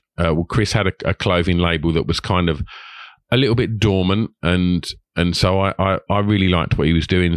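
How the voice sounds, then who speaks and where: Against a quiet background, a man with a very deep, low voice talks at a fairly quick pace in an Essex accent, the sound dry and close with no echo. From Essex, England. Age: 40s. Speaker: podcaster and club promoter. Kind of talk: casual interview. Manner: halting, repeats words.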